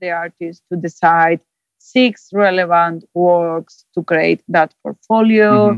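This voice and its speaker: In a Spanish accent, a woman speaks very slowly at a medium pitch with ordinary pitch variation, the sound dry and close with no echo. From Spain, Zaragoza. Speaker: gallery director. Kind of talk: interview. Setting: Skype call. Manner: halting, many fillers.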